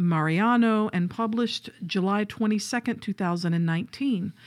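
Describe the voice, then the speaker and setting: A woman with a Southern US accent, medium pitch and lively intonation, on a very clean recording with a silent background. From US South. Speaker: podcast co-host. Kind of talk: casual chat.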